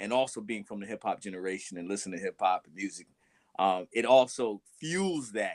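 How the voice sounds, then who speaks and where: Speaking at a fairly quick pace, a man uses a plain, everyday voice with an American accent, fairly low in pitch with ordinary variation and big swings in loudness, in a dry, close sound with no echo. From United States. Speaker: teacher. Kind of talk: panel discussion.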